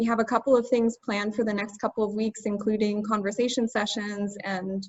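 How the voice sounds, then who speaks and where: In an American accent, a woman speaks at a fairly quick pace with a fairly high, somewhat breathy voice. Her intonation stays monotone and flat. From United States. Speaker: language tutor. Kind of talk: webinar.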